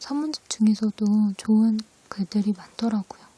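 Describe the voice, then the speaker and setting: Noticeable background noise sits under a soft-spoken voice moving at a fairly slow pace. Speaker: ASMR creator. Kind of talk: casual talk to camera.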